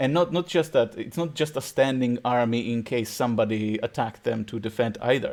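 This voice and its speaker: This man speaks with a Czech accent at a fairly quick pace. His pitch variation is ordinary, and the recording is very clean with a silent background. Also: medium pitch for a man. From Czech Republic. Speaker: podcast host. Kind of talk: casual chat. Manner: halting.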